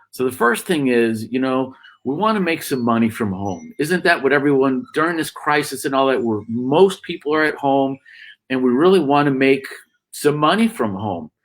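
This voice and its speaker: A man, fairly high in pitch, at a moderate pace on a very clean recording with a silent background. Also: lively intonation. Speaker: business coach, live stream host. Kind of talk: live stream presentation. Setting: home desk, Facebook live broadcast. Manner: loud.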